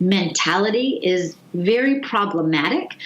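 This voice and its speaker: Noticeable background noise sits under the speech. The delivery has lively intonation. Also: woman. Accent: American. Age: 50s. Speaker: gerontology professor. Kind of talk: interview.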